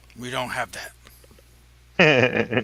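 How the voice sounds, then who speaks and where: A man puts on a character voice. It sounds raspy. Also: medium pitch for a man. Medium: actual play.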